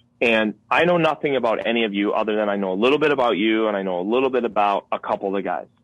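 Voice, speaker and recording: Talking at a very fast pace, a man with an American accent keeps a medium pitch with ordinary variation. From Connecticut. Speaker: wildlife filmmaker and hunter. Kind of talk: casual interview.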